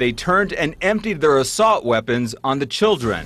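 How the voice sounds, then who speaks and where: Over background music, a man delivers his words at a moderate pace, his intonation lively. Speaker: TV news reporter. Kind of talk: TV news report narration.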